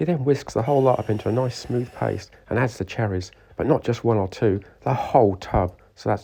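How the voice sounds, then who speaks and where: A somewhat breathy man's voice at medium pitch with ordinary pitch variation. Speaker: motorcycle builder. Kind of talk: workshop video narration.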